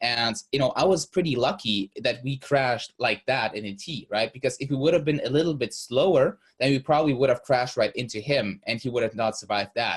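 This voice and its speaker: Speaking with a Russian accent, a man goes at a fairly quick pace with hardly any pauses, medium pitch, ordinary pitch variation and a somewhat breathy quality. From Germany, born in Russia. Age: 20s. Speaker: business coach. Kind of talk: interview. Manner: halting, many fillers.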